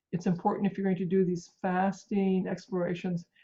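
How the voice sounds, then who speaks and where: Speaking at a fairly quick pace, a woman has a somewhat breathy voice at medium pitch. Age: 60s. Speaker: physician and researcher. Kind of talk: interview. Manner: halting, many fillers.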